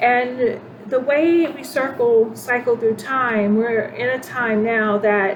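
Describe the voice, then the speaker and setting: A woman with a fairly high voice speaks very slowly, with noticeable background noise and audible room echo. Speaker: spiritual channel host. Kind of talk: spiritual monologue. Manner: halting, many fillers and restarts.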